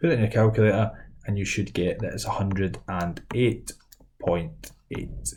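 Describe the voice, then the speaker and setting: In a Scottish accent, a man speaks at a fairly low pitch with vocal fry and ordinary pitch variation. Audible room echo surrounds the voice. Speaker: maths teacher. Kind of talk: lecture. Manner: fast.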